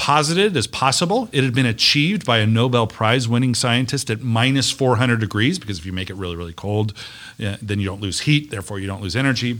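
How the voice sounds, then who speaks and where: In a plain, everyday voice with an American accent, a man speaks at medium pitch and a fairly quick pace, with lively intonation and hardly any pauses, in a very clean recording with a silent background. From US West (Las Vegas, Nevada). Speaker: university economic development official. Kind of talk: casual interview.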